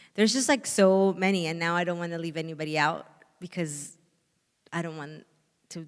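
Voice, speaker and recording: This woman's pitch is very deep and low, and her intonation stays fairly even. She talks at a moderate pace in a slight Spanish accent. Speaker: author. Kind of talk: panel conversation. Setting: stage with audience.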